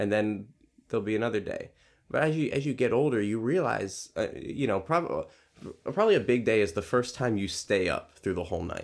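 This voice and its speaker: A man's plain, everyday voice, medium in pitch, with lively intonation at a fairly quick pace, on a very clean recording with a silent background. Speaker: podcast host, preschool teacher. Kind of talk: casual chat.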